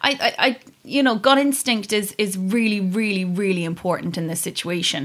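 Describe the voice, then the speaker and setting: A woman speaks in a Kerry accent at a moderate pace. Her intonation is lively. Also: medium pitch for a woman. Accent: Kerry Irish. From Ireland, County Kerry. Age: 30s. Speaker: podcast guest. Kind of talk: casual chat.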